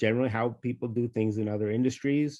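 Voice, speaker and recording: The speaker has a New York accent and ordinary pitch variation. The background is quiet. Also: man. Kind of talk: webinar Q&A. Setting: online webinar. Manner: hesitant, many fillers.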